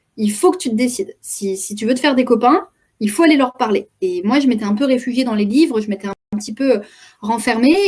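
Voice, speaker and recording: A woman's high-pitched voice at a fairly quick pace, with lively intonation. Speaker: communication coach and trainer. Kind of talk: interview, personal story. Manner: fast; hesitant, many repetitions.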